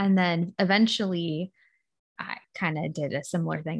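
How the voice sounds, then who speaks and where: An unremarkable speaking voice from a woman, fairly low in pitch, at a moderate pace over a quiet background. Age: 20s. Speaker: podcast co-host. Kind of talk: casual chat.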